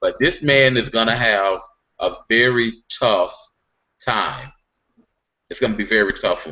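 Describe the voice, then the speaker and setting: A man with an American accent at a fairly slow pace, with long, frequent pauses. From South Carolina (Aiken). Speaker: political organization panelist. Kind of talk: online panel discussion. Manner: animated.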